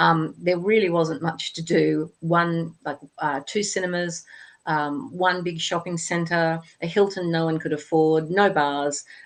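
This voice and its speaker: Against a quiet background, a woman with an Australian accent speaks very slowly in a fairly low pitch with fairly even intonation. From Australia, Sydney. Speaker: author. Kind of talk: interview.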